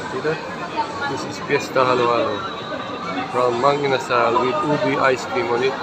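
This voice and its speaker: A man at a moderate pace, with crowd noise in the background. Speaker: food vlogger. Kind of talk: casual vlog chat. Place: cafe. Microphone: phone near.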